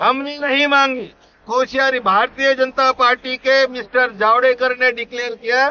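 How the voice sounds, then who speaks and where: Intonation stays monotone and flat. The man's pitch is extremely high. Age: 70s. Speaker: pensioners' activist. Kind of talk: interview.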